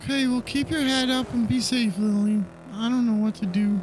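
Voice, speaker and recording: Someone puts on a character voice at a fairly high pitch and moderate pace, with clear noise in the background. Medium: game stream.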